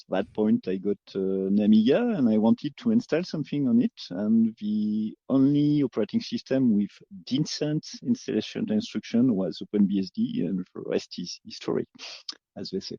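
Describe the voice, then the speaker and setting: With a French accent, a man talks at a fairly slow pace. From France. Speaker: open source developer. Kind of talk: casual panel discussion.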